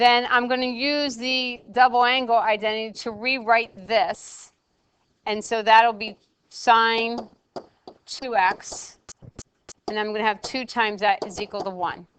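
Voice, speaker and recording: A woman with a fairly high voice speaks at a fairly slow pace, pausing long and often. Her loudness swings widely. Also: fairly even intonation. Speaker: math teacher. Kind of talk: lecture.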